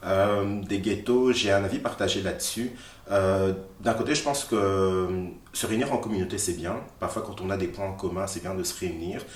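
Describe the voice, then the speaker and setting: A man with a fairly low pitch talks at a moderate pace with fairly even intonation. Noticeable background noise and audible room echo fill the recording. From Belgium, raised from age six; born in Congo. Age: 30s. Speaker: activist. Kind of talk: interview. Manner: hesitant, many fillers.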